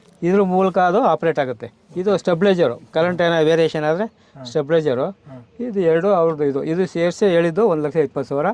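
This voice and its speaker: This man has a high pitch. His pitch variation is ordinary. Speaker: retired officer turned farmer. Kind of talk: farm tour interview.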